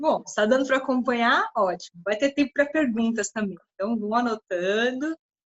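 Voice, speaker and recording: A woman in a normal speaking voice talks at a fairly high pitch and a moderate pace with ordinary pitch variation, hardly any pauses and big swings in loudness, the sound dry and close with no echo. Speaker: lecturer on meditation and yoga. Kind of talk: lecture.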